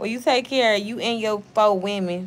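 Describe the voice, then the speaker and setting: A woman with an American accent speaks in an animated tone. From Oklahoma. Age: 30s. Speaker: YouTuber; live streamer. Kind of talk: casual livestream chat. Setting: home livestream. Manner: profane. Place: home room. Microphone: phone near.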